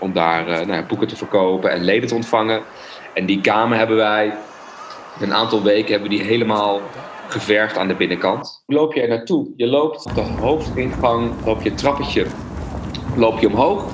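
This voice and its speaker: A man speaks at a medium pitch and a moderate pace, with ordinary pitch variation. There is noticeable background noise and audible room echo. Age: 30s. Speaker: former psychology student. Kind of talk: personal reminiscence.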